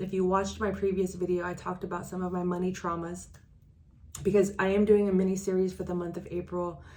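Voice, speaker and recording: A woman rattles through her words at a very fast pace in a dark, mellow, monotone, flat voice, with audible room echo. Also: medium pitch for a woman. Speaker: transaction coordinator and business coach. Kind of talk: casual vlog talk to camera. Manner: halting, self-correcting.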